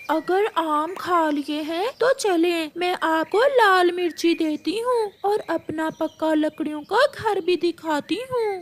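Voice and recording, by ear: A woman uses a cartoonish character voice with an extremely high pitch. She goes at a fairly slow pace with hardly any pauses.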